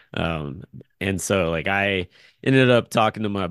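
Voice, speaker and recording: A man is speaking. The background is quiet. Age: 40s. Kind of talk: casual chat.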